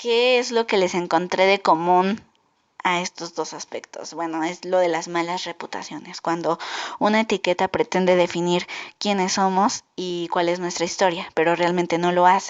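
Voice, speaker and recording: With fairly even intonation, a woman speaks at a moderate pace in a fairly low pitch. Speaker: podcaster. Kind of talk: casual podcast monologue. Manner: halting.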